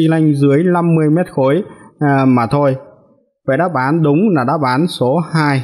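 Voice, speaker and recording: Here a man is speaking. His pace is very slow. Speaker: driving instructor. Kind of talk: tutorial. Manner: hesitant fillers.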